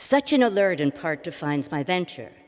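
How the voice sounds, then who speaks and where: Here is a normal speaking voice at a fairly quick pace. The intonation is lively. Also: woman. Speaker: academic keynote speaker. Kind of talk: lecture. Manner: formal.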